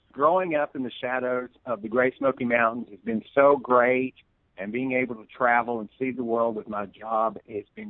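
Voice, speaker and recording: Moderately paced male speech in a Southern US accent, medium in pitch with ordinary pitch variation. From US South, East Tennessee. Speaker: tourism promoter. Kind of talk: radio interview.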